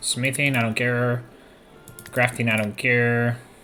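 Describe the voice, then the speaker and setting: A man with a Spanish accent speaks in an animated tone, with music playing in the background. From Spain, near Toledo. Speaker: video game streamer. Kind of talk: live gameplay commentary. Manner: casual, animated.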